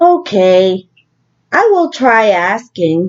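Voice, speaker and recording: A woman performs a put-on character voice at a medium pitch. Her pitch swings very widely. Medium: read story. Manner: anxious, fretful.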